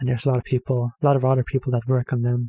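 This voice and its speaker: A man with medium pitch speaks in a somewhat breathy, dark, mellow tone, recorded with a dry, close sound and no echo. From Norway. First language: Norwegian. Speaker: reaction video creator. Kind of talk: casual commentary. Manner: hesitant, filler-heavy.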